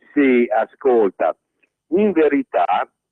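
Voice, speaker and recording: A man with lively intonation. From Emilia, Italy (Reggio Emilia). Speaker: caller. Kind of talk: phone-in opinion. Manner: halting, self-correcting.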